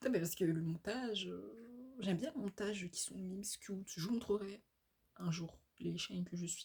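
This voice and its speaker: With a somewhat breathy voice, a woman speaks at a moderate pace in a medium pitch that varies in an ordinary way. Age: 20s. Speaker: vlogger. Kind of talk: casual monologue vlog. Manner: hesitant, many fillers.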